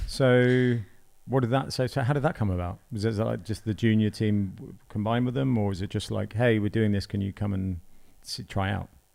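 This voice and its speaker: Fairly low male pitch with ordinary pitch variation at a fairly quick pace. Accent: British. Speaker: podcast host. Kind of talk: casual interview. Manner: casual, filler-heavy.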